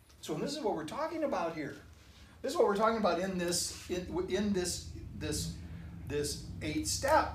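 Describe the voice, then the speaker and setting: A man speaks with lively intonation, and the room echo is audible. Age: 60s. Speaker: minister. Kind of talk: sermon.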